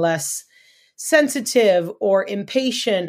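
The speaker is a woman with an American accent. The recording is very clean, with a silent background. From Los Angeles, California. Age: 50s. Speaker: sports radio host and announcer. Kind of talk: casual chat.

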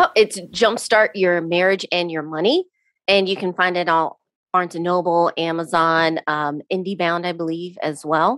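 A woman speaks at a moderate pace in a fairly low voice with fairly even intonation. The sound is dry and close with no echo, and the recording is very clean over a silent background. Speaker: podcast host and author. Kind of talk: casual interview chat. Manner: calm.

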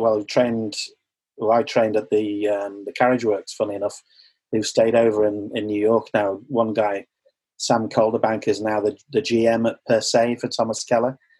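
The man's voice is medium in pitch and moves at a fairly quick pace. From Sunderland, north-east England, then Liverpool. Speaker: chef and restaurant owner. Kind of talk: casual interview chat. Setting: video call.

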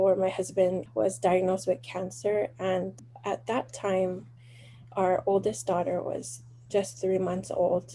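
The speaker talks at a fairly slow pace with a Hawaiian accent. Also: woman. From Hawaii, windward Oahu. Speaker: small business owner, genealogy family trees. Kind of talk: interview.

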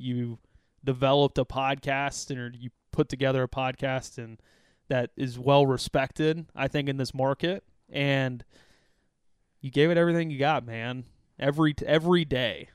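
A man talks at a moderate pace with a medium pitch and fairly even intonation. The sound is dry and close, with no echo. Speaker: sports podcast co-host. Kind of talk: casual sports chat. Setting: home recording. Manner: soft-spoken.

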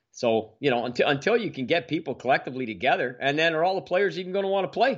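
Over a quiet background, a man with a Canadian accent talks at a very fast pace, his pitch swinging very widely. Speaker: hockey podcast co-host. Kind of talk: casual chat.

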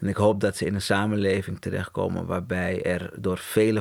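A man speaks at a fairly low pitch with vocal fry and ordinary pitch variation. The recording is very clean, with a silent background. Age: 40s. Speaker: agency co-founder. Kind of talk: interview.

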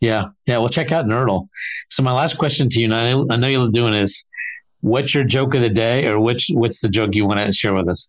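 In an unremarkable speaking voice, a man speaks at a medium pitch with ordinary pitch variation and very even loudness against a quiet background. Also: moderate pace. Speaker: podcast host. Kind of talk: interview, conversational.

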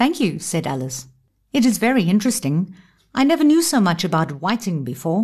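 A woman's animated, theatrical, somewhat breathy voice with very wide pitch swings, a fairly quick pace and a quiet background. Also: medium pitch for a woman. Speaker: audiobook narrator. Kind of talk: dramatic audiobook narration, reading aloud with character voices. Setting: studio. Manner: animated and expressive, theatrical, shifting tone for each character; solemn, suspenseful delivery in the thriller excerpt.

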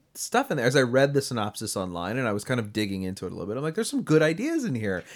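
Very wide pitch swings from a man, on a very clean recording with a silent background. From Delaware. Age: 30s. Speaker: podcast host. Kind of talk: casual chat.

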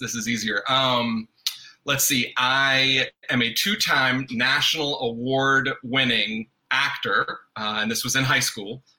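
Speaking with an American accent, the man keeps his voice at a medium pitch. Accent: faint Southern, occasionally surfaces. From US South, North Carolina. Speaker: guest, father and artist. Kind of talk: casual chat.

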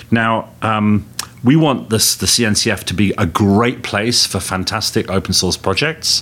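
The speaker is a man with a fairly low voice. His pitch varies in an ordinary way. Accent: English. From England. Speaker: tech company executive. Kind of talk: interview. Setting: conference venue.

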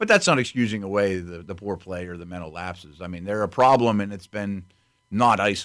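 An unremarkable speaking voice from a man, fairly quick and fairly even in intonation, with big swings in loudness, in a very clean recording with a silent background. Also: fairly low pitch for a man. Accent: American. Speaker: football analyst. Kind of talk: casual chat.

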